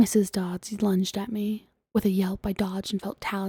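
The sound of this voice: Someone reads in an unforced voice, and the background is quiet.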